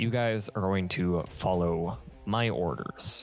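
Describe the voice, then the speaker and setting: Over clear background music, a man puts on a gruff, rumbling character voice. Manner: grumbly, gruff.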